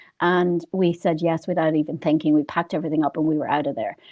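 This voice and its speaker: A woman talks at a very fast pace. She has an Irish accent. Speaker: financial advisor. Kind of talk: interview.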